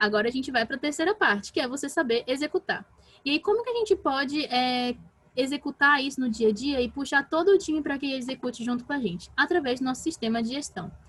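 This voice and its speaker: A woman's high voice, lively in intonation, at a very fast pace. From Brazil, Pará. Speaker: talk speaker on team management. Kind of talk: online talk / workshop. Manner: animated.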